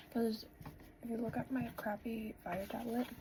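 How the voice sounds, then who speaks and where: Over noticeable background noise, a woman speaks slowly-ish at a fairly high pitch in a monotone, flat delivery. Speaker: vlogger. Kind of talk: casual vlog talk; voice-over narration. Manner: loud.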